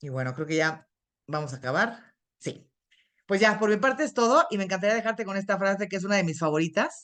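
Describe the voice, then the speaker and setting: Her pitch swinging very widely, a woman with a medium-pitched voice talks at a very fast pace. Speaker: internist and nutrition expert. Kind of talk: lecture.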